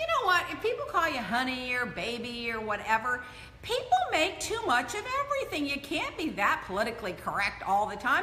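Amid light background noise and audible room echo, a woman uses a raised, projected voice and speaks at a fairly quick pace. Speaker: show host. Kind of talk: casual vlog chat. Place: home room.

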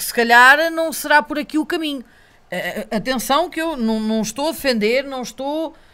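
Bright and sharp in tone, a woman with a European Portuguese accent speaks at a high pitch with lively intonation. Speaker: local election candidate; podcast guest, candidate. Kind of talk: casual interview. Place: studio. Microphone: studio mic.

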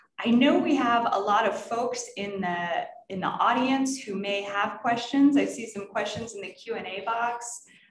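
A woman's fairly high voice with an American accent at a moderate pace, with hardly any pauses, ordinary pitch variation, big swings in loudness and audible room echo. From Texas and North Florida. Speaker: nonprofit director and panel moderator; panel moderator. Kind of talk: panel discussion moderation. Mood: calm, warm, earnest. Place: office. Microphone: webcam.

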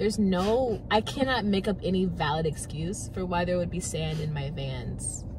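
A woman at a moderate pace, dry with no echo, over noticeable background noise. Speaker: student; vlogger. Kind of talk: casual chat. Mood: playful, laughing. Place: car. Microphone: phone near.

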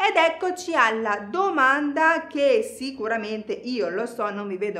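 Her pitch rising and falling very widely, a woman talks at a fairly slow pace. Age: 30s. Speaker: fitness instructor. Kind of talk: tutorial; tutorial explanation to viewers. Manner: casual. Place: studio.

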